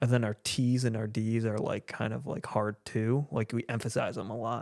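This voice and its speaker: At a moderate pace, the speaker talks in a northern US accent with monotone, flat intonation. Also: man, medium pitch for a man, dry, close sound with no echo. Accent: northern US accent, taken for Canadian. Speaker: podcast co-host. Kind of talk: casual chat.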